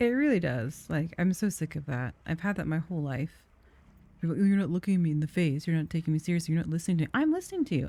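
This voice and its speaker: A soft-spoken woman at a very fast pace, fairly low-pitched, with ordinary pitch variation. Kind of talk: casual talk to camera. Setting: gaming stream commentary.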